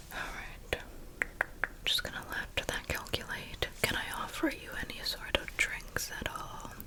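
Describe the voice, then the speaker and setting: A woman whispers slowly, at a fairly slow pace, while noticeable background noise fills the clip. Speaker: ASMR creator. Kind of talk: ASMR roleplay.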